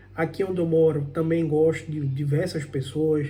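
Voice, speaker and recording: A man with a fairly high pitch and a dark, mellow tone at a moderate pace, with audible room echo. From Brazil, Pernambuco backlands (Northeast). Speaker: immigrant vlogger, programmer. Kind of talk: personal vlog monologue. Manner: conversational, some halting repetitions.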